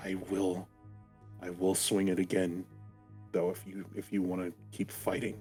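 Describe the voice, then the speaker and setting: A man's put-on character voice, very deep and low, shaky and fairly slow, with long, frequent pauses and clear music in the background. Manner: trying to intimidate.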